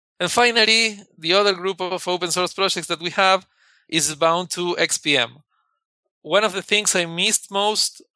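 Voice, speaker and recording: A man with a Spanish accent speaks at a moderate pace in a high, bright, sharp voice with fairly even intonation against a quiet background. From Argentina. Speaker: software engineer. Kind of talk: interview.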